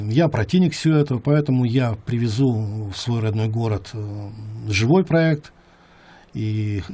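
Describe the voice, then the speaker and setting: Somewhat breathy and dark, mellow in tone, this man's voice sits at medium pitch with ordinary pitch variation. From Yakutia, Russia. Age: 60s. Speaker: music producer. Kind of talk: interview monologue. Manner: halting, many fillers.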